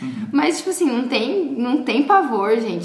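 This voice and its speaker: With lively intonation and a moderate pace, a woman speaks amid audible room echo and noticeable background noise. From Paraguay. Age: 20s. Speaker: artist and makeup artist. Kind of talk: casual interview chat. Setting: at home.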